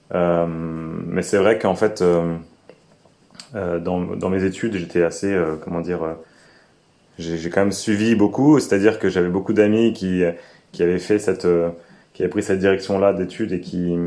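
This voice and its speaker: A man speaks in a very deep, low pitch with a dark, mellow tone. His pace is moderate and his intonation fairly even, with long, frequent pauses. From France, Alsace. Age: 30s. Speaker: permaculture farmer. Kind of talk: interview. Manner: halting, many fillers.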